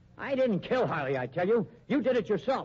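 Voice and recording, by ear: A man performs a put-on character voice, high-pitched with big pitch swings, at a fairly quick pace. His tone is slightly mellow with a slightly husky edge.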